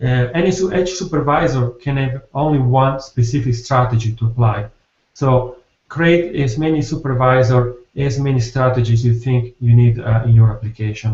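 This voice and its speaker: A man speaks with an Italian accent in a somewhat breathy voice. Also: medium pitch for a man, ordinary pitch variation. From Italy. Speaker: software developer. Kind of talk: technical presentation. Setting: video call. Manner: fast; halting.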